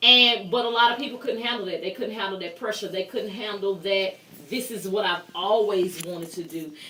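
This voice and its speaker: A woman talks at a moderate pace, her pitch medium with ordinary variation. Noticeable background noise sits behind her. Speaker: talk show host. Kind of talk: interview. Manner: loud.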